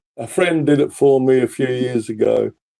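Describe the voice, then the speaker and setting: Dark, mellow male tone at a moderate speed. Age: 70s. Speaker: caller. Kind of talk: casual chat. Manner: halting; loud.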